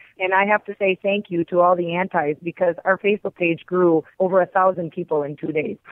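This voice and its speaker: A woman with a Wisconsin accent talks at a medium pitch in a monotone, flat intonation, moving at a fairly quick pace with hardly any pauses. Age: 40s. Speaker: hunter, outdoor TV host and skull artist. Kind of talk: interview.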